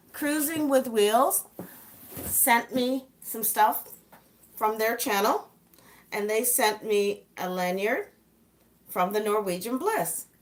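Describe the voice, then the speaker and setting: Over noticeable background noise, a woman with a fairly high pitch and ordinary pitch variation speaks at a very slow pace with long, frequent pauses. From Southern Ontario, Canada (born in England). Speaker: travel vlogger. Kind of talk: casual live stream chat.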